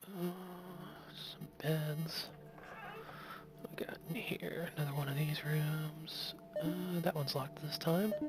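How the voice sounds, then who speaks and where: The speaker is soft-spoken and moves at a fairly slow pace, with long, frequent pauses. Music plays in the background. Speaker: game streamer. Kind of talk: gameplay commentary. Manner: casual. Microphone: quiet voice volume, already turned all the way up.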